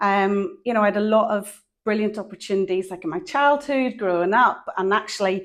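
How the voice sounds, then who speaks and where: A very clean recording with a silent background captures speech at a moderate pace. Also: woman. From Northern Ireland. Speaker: psychologist. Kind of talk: podcast interview.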